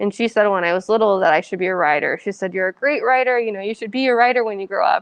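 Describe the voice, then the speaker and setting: Against a quiet background, a woman with a Californian accent speaks at a fairly high pitch with ordinary pitch variation, in a dry, close sound with no echo. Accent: Californian American English. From San Francisco Bay Area, California. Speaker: author. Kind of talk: audience Q&A. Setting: library event with audience.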